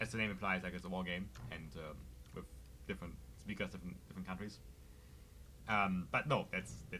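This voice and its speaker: A man's very deep, low voice with a German accent, a bright, sharp tone and vocal fry, very wide pitch swings, a fairly quick pace and long, frequent pauses. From Germany. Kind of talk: casual, conversational.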